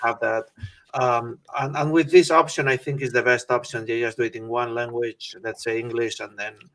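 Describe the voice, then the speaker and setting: Speaking at a medium pitch, a man has a Spanish accent. His intonation is fairly even and his pace moderate. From Spain. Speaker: medical oncologist. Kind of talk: interview conversation. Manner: halting.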